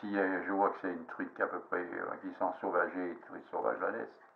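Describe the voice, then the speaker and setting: A man speaks over noticeable background noise. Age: 70s. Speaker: fly-tying hobbyist. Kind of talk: casual tutorial monologue. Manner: halting, many fillers.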